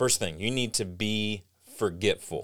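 A man talks at a moderate pace in an animated tone. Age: 40s. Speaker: creative coach and podcast host. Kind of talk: solo podcast monologue.

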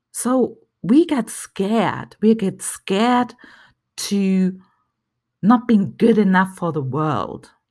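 A woman with a German accent at a medium pitch, very slow with long, frequent pauses and lively intonation, on a very clean recording with a silent background. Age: 40s. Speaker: therapist and life coach podcast host. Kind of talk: solo motivational talk.

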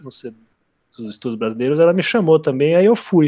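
A man with a fairly high voice rattles along at a very fast pace. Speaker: literature podcast co-host. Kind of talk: casual chat.

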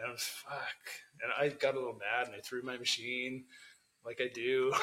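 A man's mumbling at medium pitch, in a Canadian accent, at a moderate pace. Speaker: tattoo artist. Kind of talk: casual chat.

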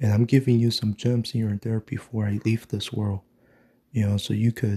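Dry and close with no echo, a man's fairly low, somewhat breathy voice has a dark, mellow tone and monotone, flat intonation. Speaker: video blogger. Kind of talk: angry ranting monologue, conspiratorial and insistent. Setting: morning solo recording. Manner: emphatic, repetitive, hammering points with 'mark my fucking words'.

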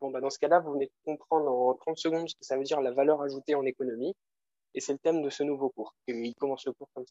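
A man speaks at a very fast pace with a fairly high pitch. His loudness swings widely. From France. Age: 20s. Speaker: business student and economics popularizer. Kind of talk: casual interview. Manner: animated.

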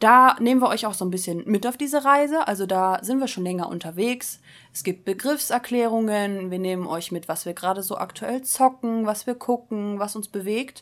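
A woman's fairly high voice at a moderate pace, with ordinary pitch variation and hardly any pauses. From Westphalia, Germany (Soest). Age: 20s. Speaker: podcast co-host. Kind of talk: casual chat.

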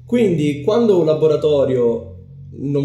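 A man talks amid audible room echo. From Sicily, Palermo. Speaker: community organizer. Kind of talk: casual interview. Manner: hesitant with fillers.

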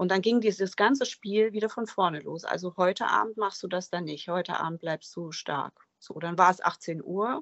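Keeping a moderate pace with hardly any pauses, a woman at medium pitch shows ordinary pitch variation and big swings in loudness, recorded in a dry, close sound with no echo. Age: 40s. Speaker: guest sharing recovery from alcohol. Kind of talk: interview testimony. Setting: remote call from an office.

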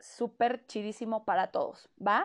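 The speaker has a Mexican accent. The background is quiet. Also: woman. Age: 20s. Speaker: podcast host. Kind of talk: casual monologue.

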